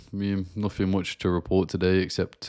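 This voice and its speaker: A man with a very deep, low pitch and monotone, flat intonation at a moderate pace, on a very clean recording with a silent background and a dry, close sound with no echo. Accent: British. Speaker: forex trader. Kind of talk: live stream market review. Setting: live stream. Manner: casual, filler-heavy.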